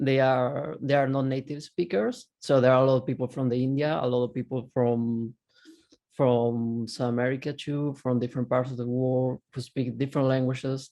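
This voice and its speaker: A man with a Spanish accent at a medium pitch, moderate pace and monotone, flat intonation. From Argentina. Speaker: copywriter sharing career story. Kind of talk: panel talk, personal story. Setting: video call.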